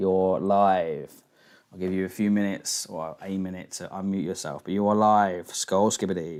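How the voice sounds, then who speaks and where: A man with a London accent speaks at a moderate pace in a very deep, low voice, his intonation monotone and flat while his loudness swings widely. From England, London. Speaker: live stream host taking callers. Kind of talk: casual call-in chat.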